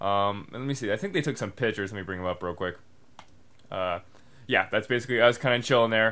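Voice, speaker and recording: A man at medium pitch talks very fast but leaves long, frequent pauses, with ordinary pitch variation. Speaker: video blogger. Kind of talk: casual vlog chat. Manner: hesitant, many fillers.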